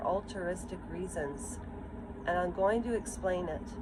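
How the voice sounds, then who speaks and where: Amid noticeable background noise and audible room echo, a woman speaks at a fairly slow pace with lively intonation. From Ukraine. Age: 50s. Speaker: vlogger. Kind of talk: personal vlog monologue. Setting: outdoors. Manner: halting.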